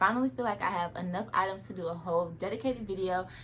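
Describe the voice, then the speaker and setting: The speech is very fast and animated in tone. Background noise is noticeable. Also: woman. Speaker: fashion and lifestyle youtuber. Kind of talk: try-on haul vlog.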